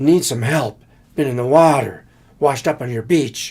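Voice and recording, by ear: A man's put-on character voice, raspy and strained, at a medium pitch and a moderate pace.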